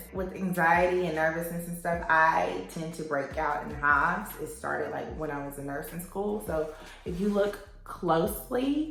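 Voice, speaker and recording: A woman in a Southern US accent talks at a moderate pace and a fairly low pitch, with hardly any pauses and ordinary pitch variation. Her loudness swings widely, and music plays in the background. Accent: Southern American. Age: 20s. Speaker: labor and delivery nurse. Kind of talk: makeup tutorial talk to camera.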